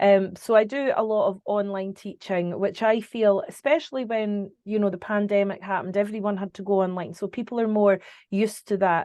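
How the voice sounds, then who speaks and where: A woman with a Scottish accent and a medium pitch talks at a fairly quick pace with hardly any pauses, her intonation fairly even. Her tone is dark and mellow, set against a quiet background. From Scotland. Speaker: psychic medium. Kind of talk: interview answer.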